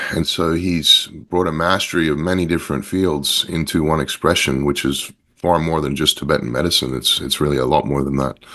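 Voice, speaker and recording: With a slight Australian accent, a man talks at a fairly quick pace with hardly any pauses, his very deep, low pitch marked by vocal fry and fairly even intonation. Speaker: company founder. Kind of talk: interview. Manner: halting, many repetitions and fillers.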